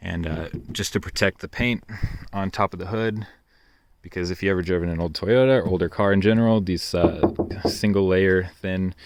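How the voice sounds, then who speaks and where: A man talks at a fairly quick pace in a very deep, low pitch. His intonation stays fairly even. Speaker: car enthusiast video maker. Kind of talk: car walkaround tutorial. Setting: outdoors. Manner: monotone.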